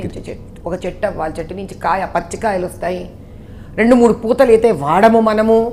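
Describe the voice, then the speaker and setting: Medium-pitched woman's voice with ordinary pitch variation and big swings in loudness. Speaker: politician. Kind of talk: interview answer.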